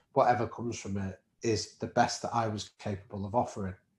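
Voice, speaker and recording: This man talks at a fairly quick pace in a fairly low, somewhat breathy voice. His intonation stays monotone and flat. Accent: Manchester. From northern England, Manchester. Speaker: professor and podcast co-host. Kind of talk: interview conversation.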